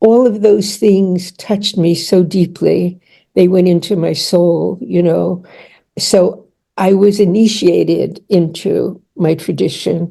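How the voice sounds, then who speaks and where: A woman speaks at a very slow pace in a medium pitch, with vocal fry. Her tone is dark and mellow and her intonation fairly even. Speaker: author and therapist. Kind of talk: casual chat. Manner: halting.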